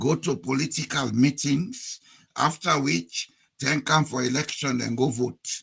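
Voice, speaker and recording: Using vocal fry and a bright, sharp tone, a man speaks at a fairly slow pace with a fairly high pitch and ordinary pitch variation. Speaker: political commentator. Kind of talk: political talk to an online audience.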